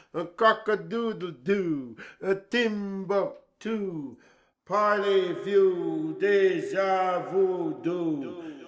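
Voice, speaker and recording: Speaking at a very slow pace, the man has a high pitch and ordinary pitch variation. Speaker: dub poet. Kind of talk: dub poetry performance.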